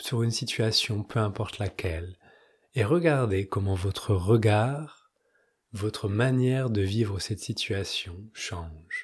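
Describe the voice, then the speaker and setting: Speaking very slowly, a man uses a medium pitch and a calm tone that is somewhat breathy. His intonation is lively. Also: very clean recording, silent background. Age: 30s. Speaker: spiritual podcast host. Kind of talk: spiritual talk; guided meditation.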